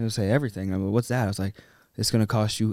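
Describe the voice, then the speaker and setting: A man speaks at a medium pitch with an American accent. The recording is very clean, with a silent background. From US, Little Rock, Arkansas and Pittsburgh area. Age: 20s. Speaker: sales business partner. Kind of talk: casual interview.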